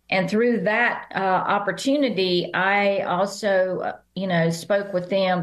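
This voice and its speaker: A woman with a Southern accent, medium in pitch, with fairly even intonation. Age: 70s. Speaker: business founder and author. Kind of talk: podcast interview.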